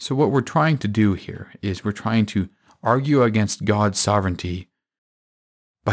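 A man with an ordinary speaking voice talks at a fairly low pitch with ordinary pitch variation. The recording is very clean, with a silent background. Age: 20s. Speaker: Bible teacher podcaster. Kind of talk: Bible teaching monologue.

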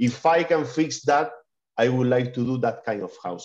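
A man with a Spanish accent speaks at a moderate pace. His medium pitch shows ordinary pitch variation. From Spain. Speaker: digital artist. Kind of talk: interview. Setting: video call. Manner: halting.

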